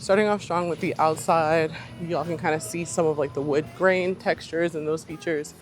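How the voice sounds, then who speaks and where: Over music in the background, a woman talks at a fairly quick pace. Her pitch is very deep and low, with ordinary variation. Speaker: real estate agent. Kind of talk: house tour vlog. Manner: fast; animated.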